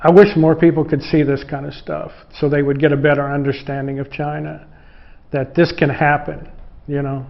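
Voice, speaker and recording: At a moderate pace, a man speaks in a fairly high pitch with monotone, flat intonation. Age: 60s. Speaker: foreign guitar maker working in a factory. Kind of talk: interview. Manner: halting, with many restarts.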